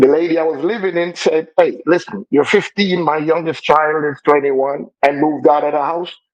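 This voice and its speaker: A man with a Jamaican accent speaks at a moderate pace with hardly any pauses. His voice sits fairly high, with fairly even intonation. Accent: Jamaican, still noticeable. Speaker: computer engineer sharing life story. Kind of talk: interview testimony.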